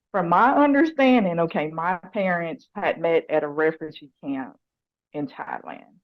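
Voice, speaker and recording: A woman with a fairly low pitch and a strong Southern US accent speaks at a moderate pace. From US South, Nashville Tennessee. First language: Lao. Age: 40s. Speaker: probation officer and motorcycle racer. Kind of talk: interview.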